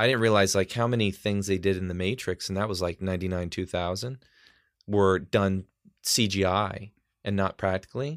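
Fairly low-pitched, a man talks at a moderate pace with fairly even intonation in an unremarkable speaking voice. The recording is very clean, the background silent. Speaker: guest on podcast. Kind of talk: casual chat. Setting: home studio.

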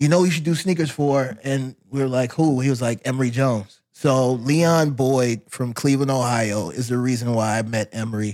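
An ordinary speaking voice at a moderate pace, with ordinary pitch variation and hardly any pauses. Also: man, medium pitch for a man. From US, moved often; born Louisiana. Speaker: fashion and footwear designer. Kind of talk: casual interview.

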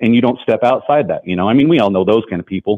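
This man has a plain, everyday voice and an American accent. His pitch is medium, with ordinary pitch variation. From western Colorado. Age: 40s. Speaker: rancher and former sheriff's deputy. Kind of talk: interview.

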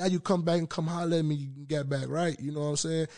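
A very fast-talking man with an American accent against a quiet background. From Memphis, Tennessee (East Memphis). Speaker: rapper. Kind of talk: casual interview.

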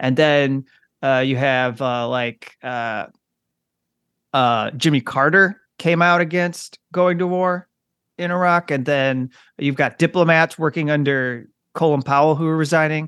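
A man with an ordinary speaking voice talks at a fairly slow pace and fairly high pitch with ordinary pitch variation, in a dry, close sound with no echo against a quiet background. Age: 30s. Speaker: journalist and author. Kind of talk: interview.

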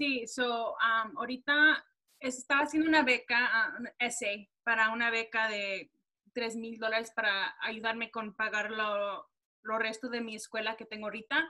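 A woman with a plain, everyday voice speaks at a fairly high pitch and a fairly slow pace. Her intonation stays fairly even while her loudness swings a lot. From Texas. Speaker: podcast co-host and student. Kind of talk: interview.

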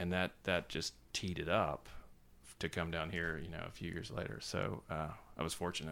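A man with an American accent speaks at a moderate pace with vocal fry. His pitch is very deep and low, with fairly even intonation. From US South, Savannah, Georgia. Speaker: magazine editor. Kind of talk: casual interview chat. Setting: office.

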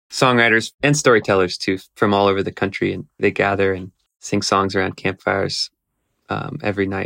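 In an American accent, a man uses a normal speaking voice at a fairly low pitch and moderate pace, with fairly even intonation, a quiet background and a dry, close sound with no echo. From Texas. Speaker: guitarist and songwriter. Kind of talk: casual interview chat.

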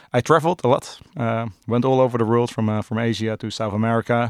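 In a Dutch accent, a man speaks at a fairly quick pace and a medium pitch with fairly even intonation. The recording is very clean, with a silent background and a dry, close sound with no echo. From Netherlands, Amsterdam. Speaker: drinks brand ambassador. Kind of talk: casual interview chat.

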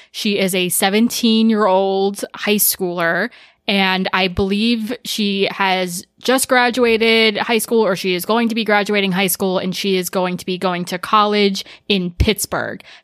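Monotone and flat, a woman speaks at a medium pitch and fairly slow pace. The recording is very clean, with a silent background. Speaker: podcast co-host. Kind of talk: casual chat.

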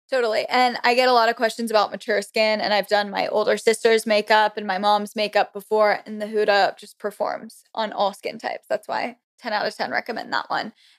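A woman's plain, everyday voice with an American accent, fairly high in pitch with fairly even intonation, at a fairly quick pace with hardly any pauses and big swings in loudness, in a dry, close sound with no echo. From Florida. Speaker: beauty influencer. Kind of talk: casual chat.

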